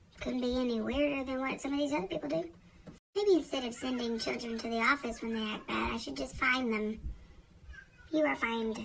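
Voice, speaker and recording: Whispering from a woman at a fairly quick pace, broken by long, frequent pauses. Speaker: vlogger and foster parent. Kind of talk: casual vlog monologue. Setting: home office.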